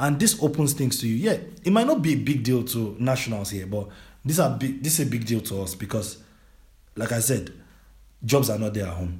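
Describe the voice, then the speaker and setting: A man with a Nigerian accent and a medium-pitched, somewhat breathy voice talks at a fairly quick pace with lively intonation. Long, frequent pauses break up his speech, and the room echo is audible. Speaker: educational consultant. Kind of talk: interview.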